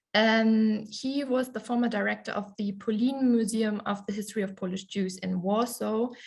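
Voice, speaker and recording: A woman's somewhat breathy, fairly high voice with a German accent, fairly even intonation and a moderate pace. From Germany. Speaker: conference presenter. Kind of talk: conference presentation. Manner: hesitant, many fillers.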